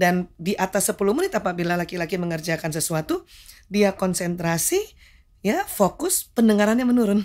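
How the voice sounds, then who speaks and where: With a plain, everyday voice, a woman speaks at medium pitch and a fairly quick pace, her intonation lively. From Jakarta, Indonesia. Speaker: medical doctor; guest. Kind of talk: interview talk show. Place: studio. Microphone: studio mic.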